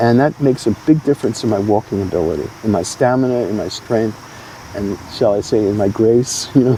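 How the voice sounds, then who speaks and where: Noticeable background noise runs under the voice. The pace is fairly quick, with ordinary pitch variation. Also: man, medium pitch for a man. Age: 70s. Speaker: cannabis patient interviewed on radio. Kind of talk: interview. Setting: community center.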